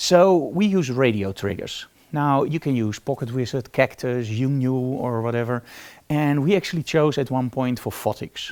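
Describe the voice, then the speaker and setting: A man's medium-pitched voice with a Dutch accent, in a very clean recording with a silent background. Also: ordinary pitch variation, moderate pace. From Netherlands. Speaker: photography teacher. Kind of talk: live tutorial. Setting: live stream from photo studio. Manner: casual.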